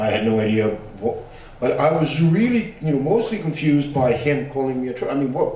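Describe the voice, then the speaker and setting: A man speaks at a fairly high pitch with very wide pitch swings. The recording has audible room echo and noticeable background noise. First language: Bosnian. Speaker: genocide survivor and academic. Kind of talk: panel discussion. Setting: panel with audience, streamed. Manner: casual, animated; halting.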